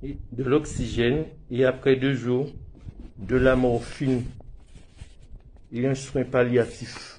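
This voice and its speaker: Over noticeable background noise, a man with a medium pitch speaks at a very slow pace. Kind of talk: emotional personal testimony to camera.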